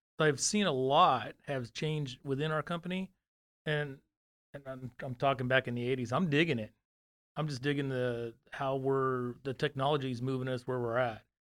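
With an American accent, a man at a medium pitch speaks at a moderate pace with fairly even intonation. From California (Fresno). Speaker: company operations executive. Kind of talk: casual interview. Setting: studio.

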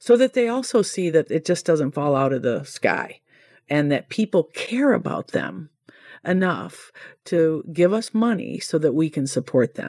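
Speaking at a fairly slow pace, a woman with a fairly low pitch and a dark, mellow tone makes very wide pitch swings, recorded very cleanly against a silent background with a dry, close sound and no echo. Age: 60s. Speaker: nonprofit director and massage therapist. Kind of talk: interview.

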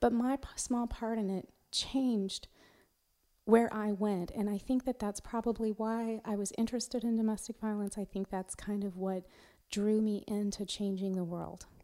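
A woman with an American accent speaks at a moderate pace in a fairly high pitch, her dark, mellow tone delivered in a monotone, flat intonation, on a very clean recording with a silent background. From US Northwest, eastern Washington state. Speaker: prosecutor and judicial candidate. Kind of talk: interview. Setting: studio.

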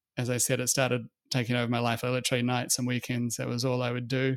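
A man with a New Zealand accent speaks very fast at a medium pitch. The sound is dry and close, with no echo. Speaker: fund manager. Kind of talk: interview conversation. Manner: halting, many fillers.

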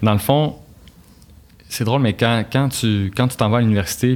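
A man is talking. His pitch moves with ordinary variation. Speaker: engineer and author. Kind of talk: casual interview.

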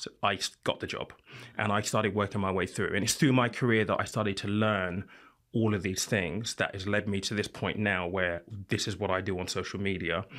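A man with a British accent, fairly low pitch, fairly quick pace and fairly even intonation, on a very clean recording with a silent background. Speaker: financial content creator and podcast host. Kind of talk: panel discussion.

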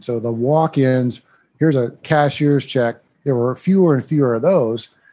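The man's tone is dark and mellow. He talks at a fairly quick pace, with ordinary pitch variation. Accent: American. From Iowa, US Midwest. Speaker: property management company owner. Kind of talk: interview. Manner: animated.

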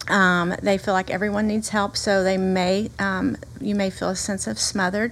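A woman's medium-pitched voice in a Southern US accent, monotone and flat at a moderate pace, on a very clean recording with a silent background. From US South. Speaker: pastor. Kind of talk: casual chat.

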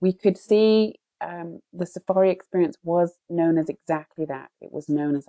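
A woman with a British accent speaks in a dark, mellow tone. The sound is dry and close, with no echo. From Britain. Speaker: co-founder and CEO of a glamping company. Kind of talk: interview.

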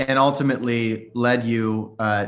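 A man talks at a medium pitch with ordinary pitch variation. He has a normal speaking voice. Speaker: podcast host. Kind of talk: casual interview.

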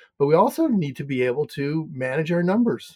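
A man with a slight Canadian accent talks at a fairly quick pace. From Canada. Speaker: hotel finance coach. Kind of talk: interview.

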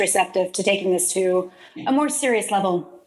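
A woman with an American accent speaks at a fairly quick pace with a medium pitch and ordinary pitch variation. Noticeable background noise runs underneath. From Texas, Houston area (Deer Park/Baytown). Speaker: podcast host, community development consultant. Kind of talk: casual interview chat.

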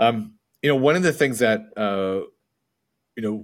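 A man's plain, everyday voice, medium in pitch, with ordinary pitch variation. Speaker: podcast host. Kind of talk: interview conversation. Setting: remote call.

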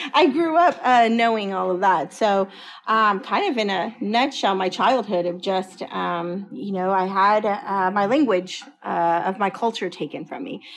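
A woman with an ordinary speaking voice and an American accent talks at a medium pitch. She goes at a fairly slow pace with ordinary pitch variation and hardly any pauses. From Dallas-Fort Worth, Texas. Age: 40s. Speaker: educator and school administrator. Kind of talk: interview.

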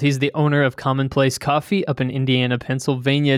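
At a fairly quick pace, a man with an unremarkable speaking voice talks in a fairly high pitch. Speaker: podcast co-host. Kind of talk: casual podcast interview. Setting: remote call.

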